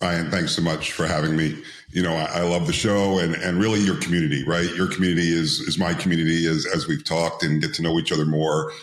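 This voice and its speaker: In a room with audible echo, a man talks very fast with hardly any pauses, his very deep, low voice monotone and flat and his loudness very even. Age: 60s. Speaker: entrepreneur and IPO advisor. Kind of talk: interview podcast.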